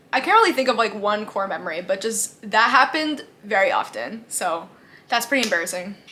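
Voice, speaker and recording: A woman with a fairly high pitch speaks at a fairly quick pace, with lively intonation and an animated tone. Background noise is noticeable. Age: 20s. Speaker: beauty and lifestyle youtuber. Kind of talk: casual Q&A vlog.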